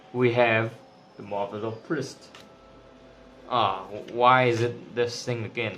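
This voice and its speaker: Over noticeable background noise, a man with a non-native accent speaks at a medium pitch with fairly even intonation. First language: not English. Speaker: tarot reader. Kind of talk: tarot reading monologue. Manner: casual, with filler words.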